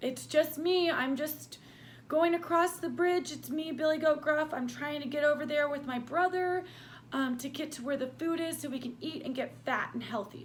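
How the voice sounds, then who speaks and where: Over clear background noise, a woman puts on a raspy, high-pitched character voice at a moderate pace. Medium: read story. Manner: persuasive, eager.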